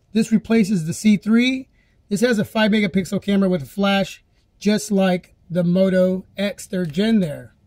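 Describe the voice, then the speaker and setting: The speaker talks at a moderate pace on a very clean recording with a silent background. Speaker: tech video creator. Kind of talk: tutorial. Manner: casual, chatty.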